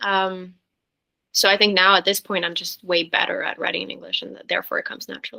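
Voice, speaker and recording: A woman talks at a very fast pace in a Norwegian accent. Her loudness swings a lot. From Norway. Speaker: singer-songwriter. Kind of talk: interview.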